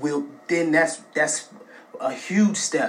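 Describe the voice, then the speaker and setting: The man's fairly high voice rises and falls in an ordinary way. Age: 20s. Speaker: contributor sending recorded message. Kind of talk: recorded personal message. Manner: impassioned.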